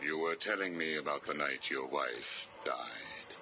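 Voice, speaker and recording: A man speaks in a put-on character voice at a fairly slow pace, his loudness very even, with clear background noise behind him. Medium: short film. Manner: calm, formal, detached.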